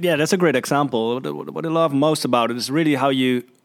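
A man with a Dutch accent at a very fast pace. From Netherlands. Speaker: podcast host. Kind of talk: interview. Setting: office, sharing one microphone.

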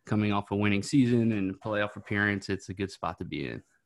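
Recorded dry and close with no echo and a silent background in a very clean recording, a man with a fairly low pitch speaks at a fairly quick pace. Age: 30s. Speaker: baseball fan guest. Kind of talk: casual chat.

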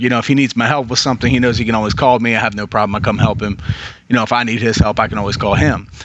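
A man talks at a very fast pace with a fairly low pitch. His intonation is monotone and flat, with noticeable background noise behind him. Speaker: podcast host. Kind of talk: casual chat.

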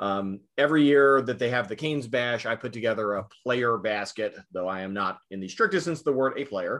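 A plain, everyday voice talks fairly quickly in an American accent, with ordinary pitch variation and hardly any pauses. The background is quiet. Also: man, medium pitch for a man. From US South, rural southern Virginia. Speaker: arena public address announcer. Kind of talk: interview.

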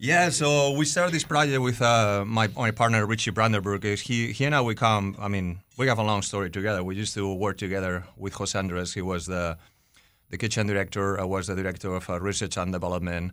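A plain, everyday voice moves at a fairly quick pace with ordinary pitch variation against a quiet background. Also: man, fairly low pitch for a man. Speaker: chef and food hall partner. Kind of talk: interview.

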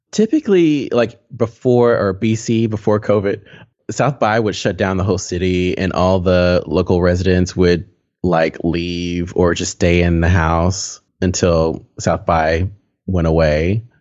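A very deep, low-voiced man with an American accent, a fairly slow pace, ordinary pitch variation and very even loudness. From Texas. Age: 30s. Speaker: product designer. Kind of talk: casual interview. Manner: laughs often.

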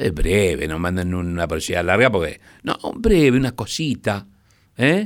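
A man with a Rioplatense accent and a very deep, low voice speaks at a fairly slow pace with lively intonation. The recording is very clean, with a silent background. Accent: Argentine Rioplatense Spanish. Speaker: radio host. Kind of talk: late-night radio presenting.

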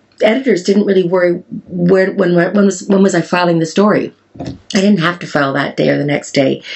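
A woman talks at a fairly quick pace with a Canadian accent. She has an unremarkable speaking voice, fairly low in pitch, with ordinary pitch variation. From Canada. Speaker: farmer and beauty entrepreneur. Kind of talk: interview conversation. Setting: farm in Wales.

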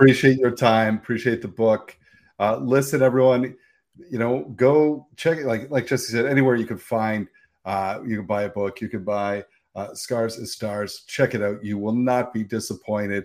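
A man with a Canadian accent talks at a moderate pace in an unremarkable speaking voice, his medium pitch showing ordinary variation in a very clean recording with a silent background. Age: 50s. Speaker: podcast host. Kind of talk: casual interview chat.

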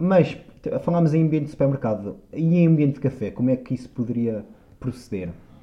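The man's pitch sits at a medium level. He talks at a very fast pace with lively intonation. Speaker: podcast co-host. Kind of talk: casual chat.

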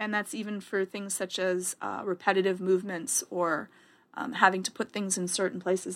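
Recorded very cleanly over a silent background, a woman with an ordinary speaking voice and medium pitch talks at a fairly quick pace with big swings in loudness. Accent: Canadian. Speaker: therapist. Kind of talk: casual chat.

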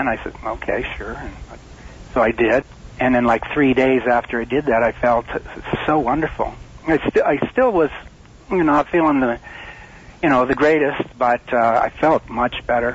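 Against noticeable background noise, a man at a medium pitch keeps a fairly even intonation and leaves long, frequent pauses. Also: moderate pace. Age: 60s. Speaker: magnetic field therapy advocate. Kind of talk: interview. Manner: halting.

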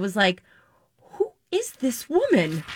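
A woman's high-pitched, bright and sharp voice rings out, raised and projected. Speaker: TV reality show commentator. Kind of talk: casual chat. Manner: excitable.

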